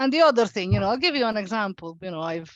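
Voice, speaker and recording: A woman with an Italian accent. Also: dry, close sound with no echo, quiet background. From Italy. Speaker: local politician. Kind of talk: panel discussion. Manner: hesitant, many fillers.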